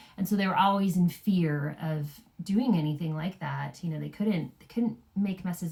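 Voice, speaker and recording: Her tone is dark and mellow, and a bit breathy. This woman speaks at a fairly low pitch and a moderate pace. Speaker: parenting podcast co-host. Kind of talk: casual chat.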